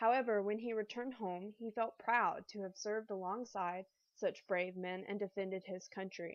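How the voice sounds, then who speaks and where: In a Southern accent, a woman talks at a fairly quick pace. Her voice is fairly high, with ordinary pitch variation. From US South (military family, moved around). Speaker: student. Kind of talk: class presentation, scripted. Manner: reading aloud.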